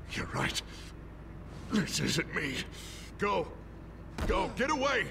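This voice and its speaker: The speaker uses a put-on character voice at a fairly slow pace. Loud background noise fills the recording. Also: man. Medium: video game. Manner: menacing, unstable.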